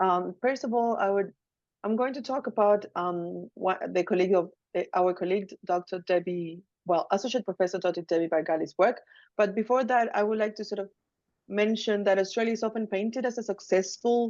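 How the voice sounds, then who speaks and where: The speaker has a Chilean accent. Pitch varies in an ordinary way. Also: woman, medium pitch for a woman, fairly quick pace. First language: Spanish. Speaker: academic researcher. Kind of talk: academic webinar presentation. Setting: video call.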